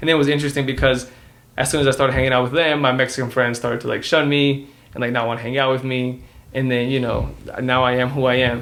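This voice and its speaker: Speaking very fast with a Spanish accent, a man holds a medium pitch. His intonation is monotone and flat, with audible room echo. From Dallas, Texas, US. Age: 20s. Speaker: podcast co-host. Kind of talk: casual chat. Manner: halting, many fillers.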